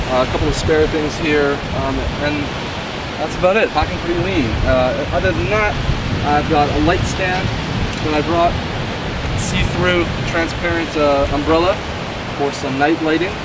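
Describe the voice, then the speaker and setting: Against loud background noise, a man speaks at a moderate pace with ordinary pitch variation and long, frequent pauses, in a dry sound with no echo. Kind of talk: casual gear walkthrough. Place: beach.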